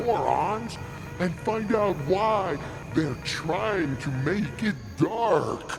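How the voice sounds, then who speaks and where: A man's put-on character voice, high-pitched and very slow, over loud background music. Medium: audio drama. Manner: rude, insulting, bickering.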